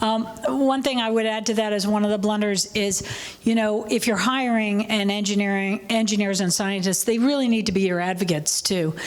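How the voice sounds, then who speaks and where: A woman at medium pitch and a fairly quick pace, with noticeable background noise. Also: fairly even intonation, very even loudness. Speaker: workshop panelist. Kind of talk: panel discussion Q&A.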